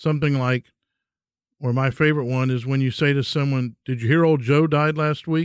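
Pitched fairly high, a man speaks at a moderate pace with very even loudness and fairly even intonation. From Texas. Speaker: podcast host. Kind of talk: personal reflection monologue.

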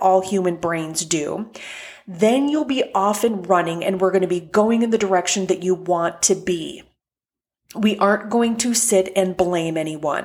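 At a fairly slow pace, an unremarkable speaking voice carries on. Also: woman. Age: 40s. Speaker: life coach podcaster. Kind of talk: solo podcast monologue.

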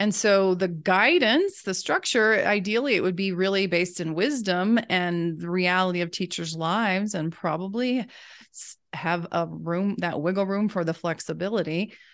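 A woman's plain, everyday voice with an American accent, medium pitch, ordinary pitch variation and a moderate pace. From US South. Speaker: reading education specialist. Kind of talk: interview.

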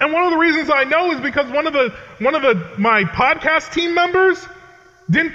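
Over noticeable background noise, a man with an American accent uses a raised, projected voice. His pitch is extremely high. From New England, Connecticut. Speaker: pastor. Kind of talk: sermon. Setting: chapel with audience.

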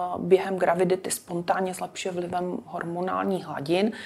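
Noticeable background noise accompanies speech delivered fairly slowly. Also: woman. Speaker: dermatologist. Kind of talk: interview. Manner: formal.

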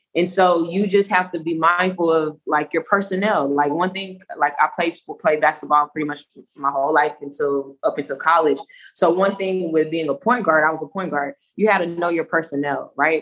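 A woman with an American accent and a normal speaking voice, fairly low in pitch, with fairly even intonation at a moderate pace. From Louisiana, US South. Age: 30s. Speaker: leadership coach and podcaster. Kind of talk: casual interview chat.

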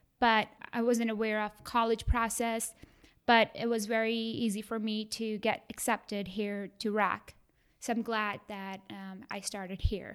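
A woman speaks with an Indian accent and a fairly high pitch. Her pace is fairly slow and her intonation flat and monotone. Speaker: college graduate, community advocate. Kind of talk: interview, personal story.

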